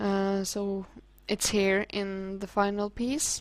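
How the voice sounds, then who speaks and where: At a very slow pace, a woman talks with a Norwegian accent and a medium pitch for a woman. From Norway. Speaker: hobby artist. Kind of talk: casual tutorial commentary. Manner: halting.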